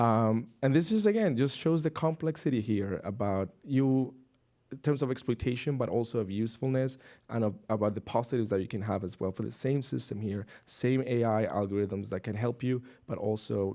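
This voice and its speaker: A man with a non-native accent speaks at a fairly quick pace in a medium pitch, with a dark, mellow tone and ordinary pitch variation. The recording is very clean, the background silent. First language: not English. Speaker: researcher. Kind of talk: panel discussion. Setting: stage with audience. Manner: halting.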